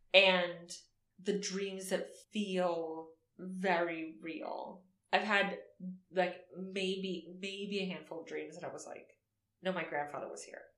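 A woman speaks very slowly in a medium-pitched, monotone voice, pausing long and often. Her loudness swings widely, and room echo is audible. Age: 30s. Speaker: podcast co-host. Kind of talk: reading aloud; casual chat. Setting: in person at co-host's home.

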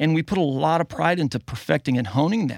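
In a very clean recording with a silent background and a dry, close sound with no echo, a man with a fairly high voice talks at a fairly quick pace with lively intonation. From US South. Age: 40s. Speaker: mastering engineer and musician. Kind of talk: casual interview. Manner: halting.

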